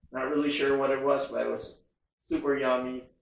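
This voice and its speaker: The man talks at a moderate pace, and audible room echo surrounds his voice. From Philippines. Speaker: travel vlogger. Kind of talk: vlog-style informational monologue. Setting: quarantine hotel room, self-filmed. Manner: casual, hesitant with frequent fillers. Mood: relaxed, cheerful. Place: home room.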